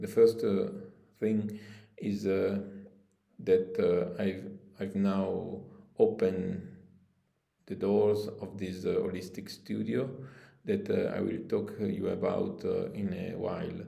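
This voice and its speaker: A man with an Italian accent, very slow delivery, long and frequent pauses, and audible room echo. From Italy. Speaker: spiritual coach and shamanic practitioner. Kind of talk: promotional video appeal. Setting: his holistic studio. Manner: halting, many fillers.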